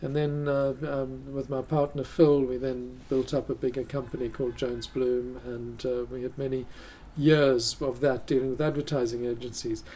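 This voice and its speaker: Monotone, flat intonation and a dark, mellow tone come at a moderate pace. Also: man, medium pitch for a man. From South Africa. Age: 60s. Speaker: wildlife photographer. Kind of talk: radio interview. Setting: gallery studio recording.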